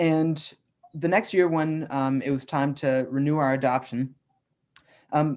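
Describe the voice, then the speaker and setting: An unremarkable speaking voice with an American accent. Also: man. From US South, Atlanta, Georgia. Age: 20s. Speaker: youth environmental activist. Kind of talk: online presentation.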